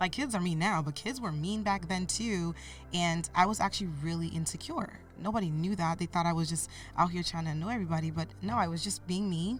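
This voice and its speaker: With lively intonation, this woman sounds somewhat breathy. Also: fairly low pitch for a woman. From US (moved from Cameroon via Canada at age 8). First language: French. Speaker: podcast guest, mentor. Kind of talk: interview, personal life story.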